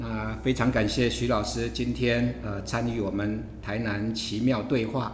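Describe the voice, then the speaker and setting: A man talks at a fairly slow pace with hardly any pauses, over noticeable background noise and audible room echo. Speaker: professor and podcast host. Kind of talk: interview conversation. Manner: halting, many filler sounds.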